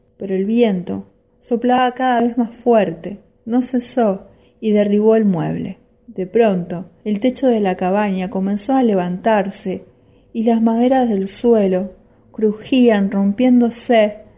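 Somewhat breathy and dark and mellow in tone, a woman with a fairly high pitch speaks very slowly with fairly even intonation. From Argentina, Rosario. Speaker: listener contributing own short story. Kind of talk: reading aloud own short story.

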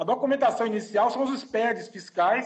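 At a fairly quick pace, a man speaks with an extremely high pitch and ordinary pitch variation. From Brazil, Salvador (Bahia). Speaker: lawyer and engineering professor. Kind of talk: online presentation and interview. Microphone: connection cutting out.

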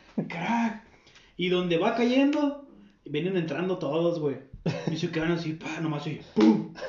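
Over noticeable background noise and audible room echo, a man speaks high for his sex at a fairly slow pace, with very wide pitch swings and long, frequent pauses. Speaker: podcast co-host. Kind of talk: casual chat.

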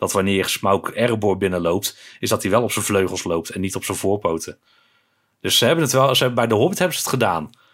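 On a very clean recording with a silent background, a man talks very fast in a fairly low voice with ordinary pitch variation. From Netherlands, Breda (North Brabant). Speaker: podcast co-host. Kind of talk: casual chat.

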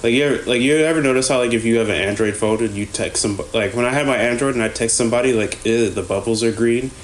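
Noticeable background noise sits behind a man's voice. His pitch is medium and his loudness very even. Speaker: podcast host. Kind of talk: casual chat.

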